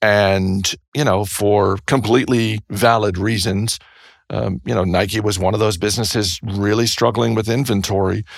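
In a very clean recording with a silent background, a man speaks in an unremarkable speaking voice with a fairly low pitch. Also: fairly even intonation, moderate pace. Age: 50s. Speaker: podcast host and investing commentator. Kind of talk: casual interview.

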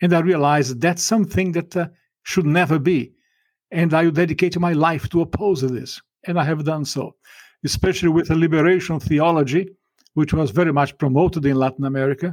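On a very clean recording with a silent background, a man speaks at a fairly quick pace. His pitch is fairly high, with ordinary variation. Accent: Portuguese. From Brazil. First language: Portuguese. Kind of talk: interview.

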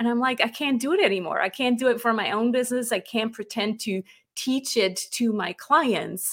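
Over a silent background in a very clean recording, a woman speaks at a moderate pace with a bright, sharp tone and fairly even intonation. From Switzerland. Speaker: business coach and author. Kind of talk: casual interview chat. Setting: live video stream.

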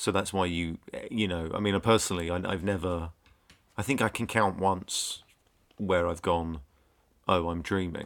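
With a British accent, a man speaks at a moderate pace in a very deep, low pitch, leaving long, frequent pauses. His intonation is fairly even, and the recording is very clean with a silent background. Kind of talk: casual chat.

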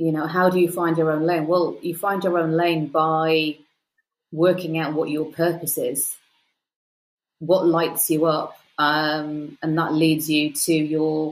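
With a British accent, the speaker goes at a fairly slow pace in a monotone, flat intonation. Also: woman. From UK. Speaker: PR expert and success coach. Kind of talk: interview conversation.

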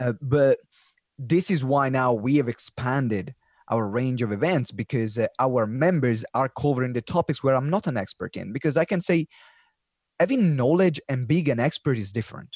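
A man with an Italian accent talks at a moderate pace in a medium pitch, with ordinary pitch variation and a dry, close sound free of echo. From Italy. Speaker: professional speaker and community founder. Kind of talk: casual interview chat. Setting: video call.

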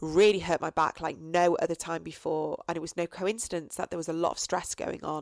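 Monotone, flat female speech, fairly low in pitch, with a dry, close sound with no echo. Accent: English. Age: 40s. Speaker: podcast host and coach. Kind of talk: solo reflective monologue. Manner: hesitant, many fillers.

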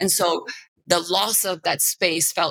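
In a Bulgarian accent, a woman with a bright, sharp tone speaks at a fairly slow pace and fairly low pitch with monotone, flat intonation, the sound dry and close with no echo. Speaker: media executive. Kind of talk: interview conversation.

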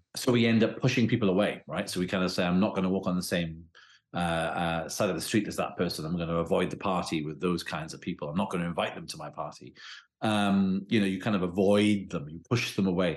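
Over a quiet background, a man with a very deep, low pitch talks at a very fast pace with ordinary pitch variation. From Wales. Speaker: criminology professor and author. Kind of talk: interview conversation. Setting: remote call.

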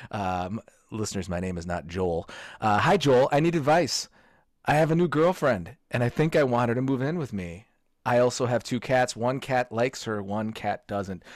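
At a moderate pace, a man with an unremarkable speaking voice talks at medium pitch with lively intonation. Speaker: podcast host. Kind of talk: casual chat.

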